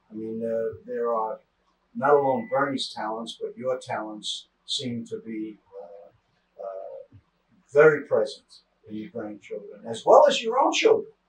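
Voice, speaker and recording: A man speaks at a fairly slow pace with big swings in loudness. Audible room echo surrounds his voice. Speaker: interviewer. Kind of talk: interview. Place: home room.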